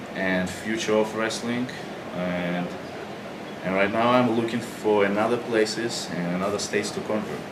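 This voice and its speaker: A man with a Russian accent and fairly low pitch, fairly even intonation, noticeable background noise and audible room echo. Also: moderate pace. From Russia, Moscow. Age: young. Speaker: pro wrestler. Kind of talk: interview.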